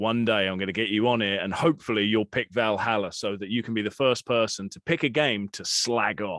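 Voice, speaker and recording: Speaking in a British accent at a fairly low pitch, a man moves at a fairly quick pace with ordinary pitch variation and hardly any pauses. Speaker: podcast host. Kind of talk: casual chat.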